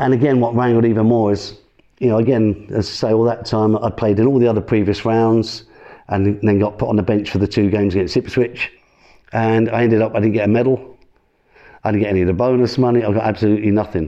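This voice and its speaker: Speaking at a very fast pace, a man keeps his medium pitch on fairly even intonation and his loudness very even. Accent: East Midlands. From Northamptonshire, England. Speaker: former footballer. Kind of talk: interview storytelling.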